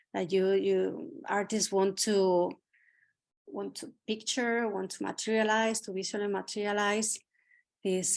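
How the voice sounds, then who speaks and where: This woman speaks with a Spanish accent at a medium pitch. The background is quiet. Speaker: art curator. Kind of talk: curatorial talk. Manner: halting.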